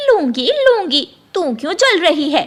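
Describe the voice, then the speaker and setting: A woman does a cartoonish character voice at an extremely high pitch. Her pitch swings very widely. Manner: sharp, scornful.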